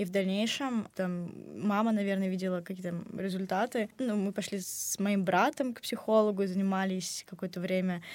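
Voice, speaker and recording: A woman with a medium pitch speaks at a moderate pace with fairly even intonation, in an unremarkable speaking voice. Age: young. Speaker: university student. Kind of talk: casual chat. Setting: studio.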